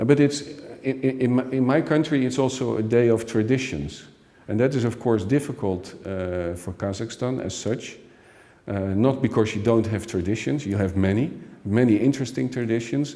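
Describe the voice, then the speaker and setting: A man with a Dutch accent speaks at a moderate pace, his medium-pitched voice dark and mellow in tone with ordinary pitch variation. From Netherlands. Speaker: expert commentator. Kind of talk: interview. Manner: halting.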